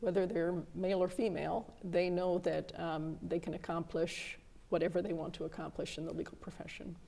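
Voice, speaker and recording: A woman speaks fairly quickly in a fairly low pitch with vocal fry. Her tone is dark and mellow, her intonation monotone and flat. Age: 60s. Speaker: federal judge. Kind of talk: casual interview chat.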